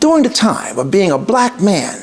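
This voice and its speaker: A man with a New York accent. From New York City (Bronx). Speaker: entrepreneur and podcast host. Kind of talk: podcast introduction monologue. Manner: formal.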